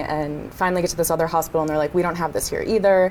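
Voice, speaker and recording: A woman with an American accent speaks in a fairly low, flat monotone over noticeable background noise. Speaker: business school student. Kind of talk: casual chat.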